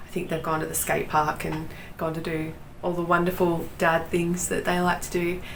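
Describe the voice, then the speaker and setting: A woman with an Australian accent speaks at a moderate pace in a fairly low voice. Noticeable background noise and audible room echo fill the recording. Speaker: knitting podcaster. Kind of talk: casual chat.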